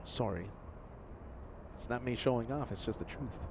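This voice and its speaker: The speaker is male. He talks at a medium pitch. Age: 60s. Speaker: plane-spotting livestream host. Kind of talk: casual livestream chat. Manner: animated; halting.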